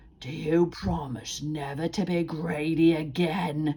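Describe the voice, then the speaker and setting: A woman growls in a put-on character voice, very deep and low-pitched, at a fairly slow pace. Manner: quiet, calmer.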